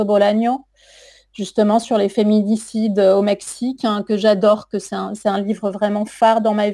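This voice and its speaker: Recorded very cleanly against a silent background, a woman talks at a moderate pace. Her fairly high voice has a dark, mellow tone and flat, monotone intonation. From southern France, Toulouse suburbs. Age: 40s. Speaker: writer and literature teacher. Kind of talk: radio interview.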